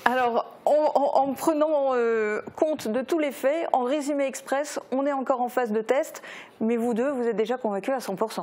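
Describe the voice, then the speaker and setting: A woman talks with a high pitch and ordinary pitch variation. Her pace is fairly slow. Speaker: news anchor. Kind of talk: news presenting and interview. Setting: studio. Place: studio. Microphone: lapel.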